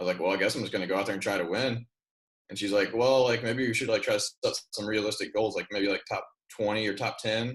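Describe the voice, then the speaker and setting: A man speaks at a very fast pace in a medium-pitched, somewhat breathy voice. His intonation stays fairly even. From Kentucky, Louisville. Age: 20s. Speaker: professional runner and coach. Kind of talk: interview. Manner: casual, filler-heavy.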